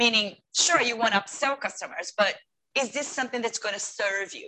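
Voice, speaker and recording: This woman has a fairly high pitch, a bright, sharp tone, ordinary pitch variation, and a Portuguese accent. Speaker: retail customer experience consultant. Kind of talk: interview. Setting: video call. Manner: animated.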